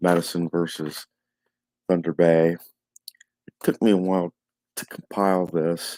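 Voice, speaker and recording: Soft-spoken and monotone, a man talks at a fairly slow pace in a very deep, low pitch, recorded dry and close with no echo. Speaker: tabletop hockey game stats host. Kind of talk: casual stats recap. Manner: halting, many fillers.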